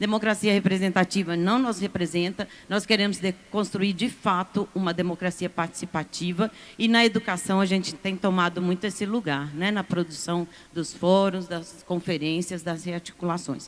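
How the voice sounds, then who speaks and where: A plain, everyday voice keeps a moderate pace and fairly even intonation. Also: woman, medium pitch for a woman. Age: 60s. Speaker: university professor and union representative. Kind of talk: conference panel speech.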